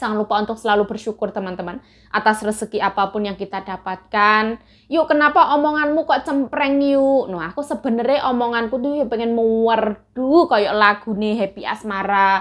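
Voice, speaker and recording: A woman's shrill, fairly high voice moves at a fairly quick pace. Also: ordinary pitch variation. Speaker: migrant domestic worker vlogger. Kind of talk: casual mukbang vlog talk. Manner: chatty.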